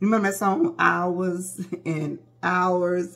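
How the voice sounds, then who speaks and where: A woman speaks in a bright, sharp tone at a fairly low pitch against a quiet background. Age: 40s. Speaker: beauty vlogger. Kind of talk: casual vlog talk to camera. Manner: animated, chatty. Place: home room. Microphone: phone near.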